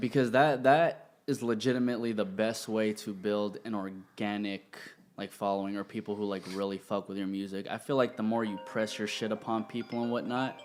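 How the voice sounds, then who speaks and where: Music in the background behind a man's fairly low voice, fairly quick in pace and fairly even in intonation. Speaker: podcast host. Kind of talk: casual podcast conversation.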